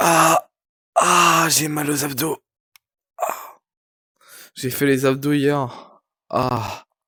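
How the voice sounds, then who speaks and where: A man speaks in a fairly high, bright and sharp voice with fairly even intonation. His pace is very slow, with long, frequent pauses. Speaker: streamer. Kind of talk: casual live stream chat. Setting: night live stream.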